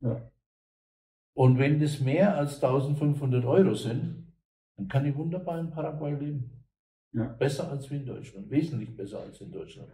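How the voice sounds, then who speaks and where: A man with a fairly high pitch speaks at a fairly slow pace, his tone dark and mellow and somewhat breathy. His pitch varies in an ordinary way, his loudness swings widely, and he pauses long and often. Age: old. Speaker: German emigrant and online businessman. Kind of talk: interview.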